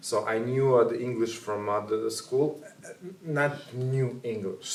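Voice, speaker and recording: A man with fairly even intonation, amid noticeable background noise and audible room echo. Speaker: ballroom dance teacher. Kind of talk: interview. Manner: halting.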